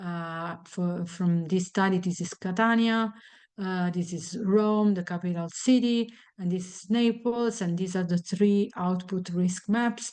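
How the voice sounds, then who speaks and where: A woman speaks in a plain, everyday voice at medium pitch and a fairly slow pace. Her intonation stays fairly even over a quiet background. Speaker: researcher presenting a study. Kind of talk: lecture.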